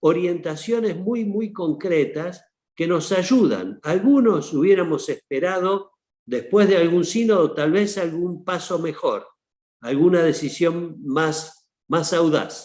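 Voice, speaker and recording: A man's high voice at a very slow pace, with ordinary pitch variation and a quiet background. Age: 60s. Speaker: archbishop. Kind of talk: panel talk. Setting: online seminar.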